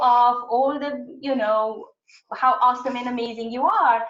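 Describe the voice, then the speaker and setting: She has a plain, everyday voice. The woman speaks at a moderate pace and a fairly high pitch. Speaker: webinar presenter on websites. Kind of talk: webinar presentation.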